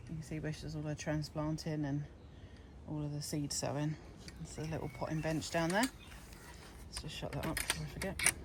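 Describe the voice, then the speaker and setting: Speaking at a fairly quick pace with long, frequent pauses, a woman with a British accent has a very deep, low pitch and a monotone, flat intonation. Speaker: allotment gardening vlogger. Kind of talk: casual walkthrough vlog. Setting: outdoors on allotment plot.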